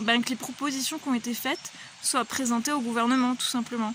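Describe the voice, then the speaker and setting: Noticeable background noise sits behind a woman with a high pitch. She talks at a fairly slow pace with fairly even intonation. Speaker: vlogger. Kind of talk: personal vlog monologue. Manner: hesitant, many fillers.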